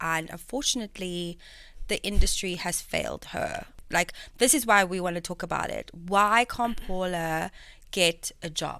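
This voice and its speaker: In a very clean recording with a silent background, a woman of medium pitch talks at a moderate pace with ordinary pitch variation, her tone bright, sharp and animated. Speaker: podcast host. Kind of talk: casual chat.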